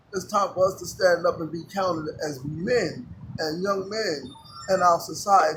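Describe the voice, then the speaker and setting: Over music in the background, a man speaks at a high pitch with ordinary pitch variation. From Jamaica, then New York City. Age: 60s. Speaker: former gang member in recovery. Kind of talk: street interview. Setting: outdoors.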